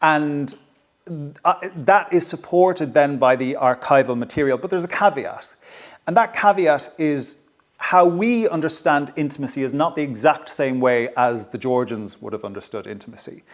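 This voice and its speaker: A man's voice in an Irish accent, with lively intonation and big swings in loudness. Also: moderate pace. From Ireland, County Kilkenny. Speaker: historian and author. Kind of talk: public talk interview. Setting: stage with audience at a heritage venue. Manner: slightly hesitant, self-correcting.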